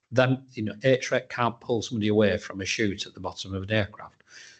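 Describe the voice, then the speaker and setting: An unremarkable speaking voice, a man at a moderate pace with fairly even intonation over a quiet background. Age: 60s. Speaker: firefighter. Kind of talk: panel Q&A.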